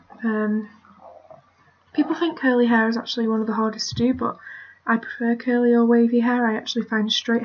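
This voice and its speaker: The intonation is monotone and flat. The speaker has a British accent. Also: woman. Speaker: digital art tutorial maker. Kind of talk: tutorial. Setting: screen recording at computer. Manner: casual, hesitant with fillers.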